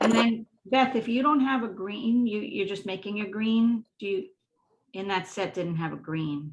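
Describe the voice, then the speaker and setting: At a moderate pace, a somewhat breathy voice moves through ordinary pitch variation. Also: woman, medium pitch for a woman. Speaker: art instructor. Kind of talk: tutorial.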